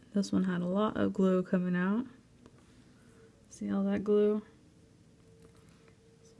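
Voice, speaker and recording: A soft-spoken woman talks at a fairly slow pace and medium pitch, with monotone, flat intonation. Her loudness swings widely, and she leaves long, frequent pauses. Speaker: crafts video creator. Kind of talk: tutorial.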